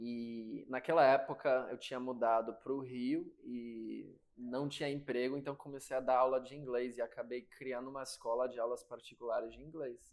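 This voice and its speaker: This man has an American accent and a medium pitch, speaking at a moderate pace with hardly any pauses. His intonation is monotone and flat, yet his loudness swings widely. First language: English (speaking Portuguese). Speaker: sales executive. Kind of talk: interview.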